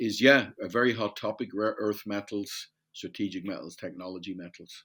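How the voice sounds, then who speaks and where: With an Irish accent, a man speaks at a moderate pace with a fairly low pitch and ordinary pitch variation, his loudness swinging widely. The recording is very clean, with a silent background. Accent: Irish, compared to Newfoundland. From Ireland, Dublin. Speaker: metals industry supplier. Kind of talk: podcast interview. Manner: hesitant, self-correcting.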